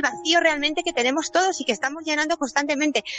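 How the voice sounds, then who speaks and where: A woman's voice has a dry, close sound with no echo, though noticeable background noise is present. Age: 40s. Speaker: course participant. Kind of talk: personal testimony.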